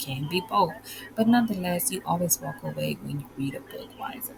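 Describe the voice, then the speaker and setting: A woman speaks quietly and fairly quickly in a fairly low voice, with noticeable background noise. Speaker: podcast host and life coach. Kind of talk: casual guided reflection monologue. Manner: speaking quietly.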